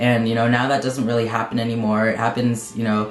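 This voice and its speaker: Audible room echo and noticeable background noise surround this man's voice. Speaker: transgender video blogger. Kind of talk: personal vlog update. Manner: halting, many fillers.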